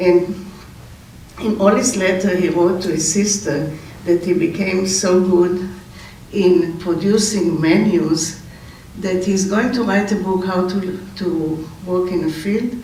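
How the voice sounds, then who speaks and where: A man at high pitch and a very slow pace, with audible room echo and noticeable background noise. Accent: Israeli. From Israel. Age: 80s+. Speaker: relative giving memorial speech. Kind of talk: memorial eulogy. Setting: memorial gathering. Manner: halting, with hesitations.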